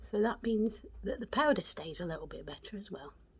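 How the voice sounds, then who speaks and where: This woman talks at a moderate pace with lively intonation. Her pitch sits fairly high. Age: 50s. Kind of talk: casual makeup tutorial talk to camera. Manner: chatty.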